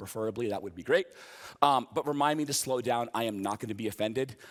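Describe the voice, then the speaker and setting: A man with an American accent speaks in an animated tone at a medium pitch with ordinary pitch variation, in a very clean recording with a silent background. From US East Coast. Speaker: software developer, conference speaker. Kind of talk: conference talk with live coding. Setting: stage with audience. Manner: fast.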